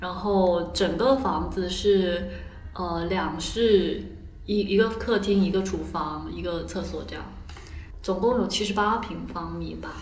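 A woman speaks at a very slow pace, her loudness swinging widely. Noticeable background noise and audible room echo fill the recording. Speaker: designer. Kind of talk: casual chat.

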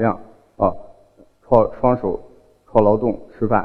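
A man with a slight southern Chinese accent speaks in a medium pitch. His pace is fairly slow. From Xinjiang, China. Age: 40s. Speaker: folk singer. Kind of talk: public talk. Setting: stage with audience. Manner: hesitant, many fillers.

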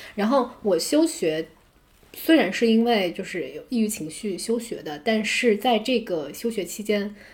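Speaking fairly slowly in a normal speaking voice, a woman uses lively intonation. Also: fairly high pitch for a woman. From China. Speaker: English educator and podcast host. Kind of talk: casual chat.

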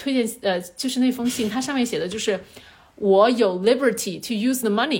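Delivered at a moderate pace, an ordinary speaking voice shows ordinary pitch variation. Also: woman. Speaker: podcast host. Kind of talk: casual chat.

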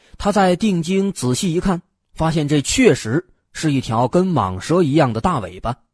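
Recorded very cleanly with a silent background and a dry, close sound with no echo, a man speaks at a fairly high pitch with very wide pitch swings. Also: moderate pace. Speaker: storytelling podcast narrator. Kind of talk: true-crime mystery narration, scripted storytelling. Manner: measured, steady storyteller pace, suspenseful and hushed, building intrigue; clear and formal, with chatty fillers like "呢" and a Mandarin storyteller's rhythm.

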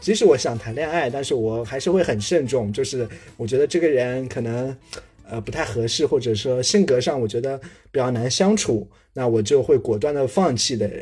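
Somewhat breathy and dark and mellow in tone, a man speaks at a medium pitch and a moderate pace with lively intonation. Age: 20s. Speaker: guest. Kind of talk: monologue.

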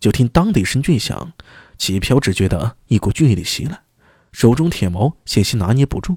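Behind a quiet background, someone reads in a natural reading voice.

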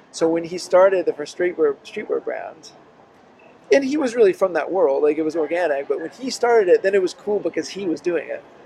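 A high-pitched man with an American accent at a fairly quick pace, over noticeable background noise. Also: lively intonation. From US Deep South (Mississippi, Pensacola, Florida). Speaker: author. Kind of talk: interview. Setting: in person in Tokyo.

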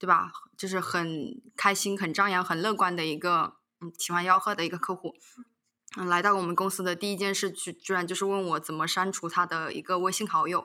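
Bright and sharp in tone, a woman at medium pitch speaks at a fairly quick pace in a flat monotone. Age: 20s. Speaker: elderly care company worker. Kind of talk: casual chat.

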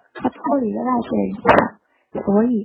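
At a fairly slow pace, a woman uses a normal speaking voice with a fairly high pitch and ordinary pitch variation. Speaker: university student speaker. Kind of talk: prepared talk.

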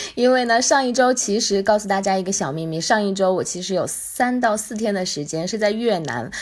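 Audible room echo surrounds a woman talking at a fairly quick pace with hardly any pauses, medium pitch, lively intonation and an animated tone. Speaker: podcast co-host. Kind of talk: casual chat.

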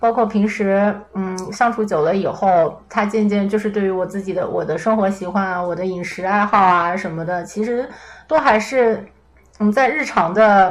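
At a moderate pace, a woman with medium pitch and ordinary pitch variation talks in a plain, everyday voice. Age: 20s. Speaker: podcast guest. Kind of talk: casual chat.

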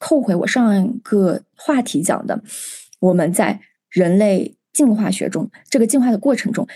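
A somewhat breathy woman's voice with a dark, mellow tone and ordinary pitch variation. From China, ethnic minority region. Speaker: podcast co-host, psychology student. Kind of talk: casual chat.

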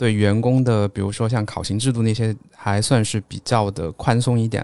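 Medium in pitch with ordinary variation, a man with an ordinary speaking voice talks at a moderate pace. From Guangdong, China. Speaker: data analyst. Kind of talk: casual chat.

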